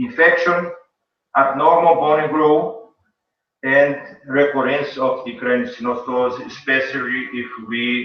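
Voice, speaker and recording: Speaking with a Brazilian accent, a man talks at a fairly slow pace and a fairly high pitch. His pitch varies in an ordinary way, and audible room echo is present. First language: Portuguese. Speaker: pediatric neurosurgeon. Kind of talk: conference lecture and Q&A. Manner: halting.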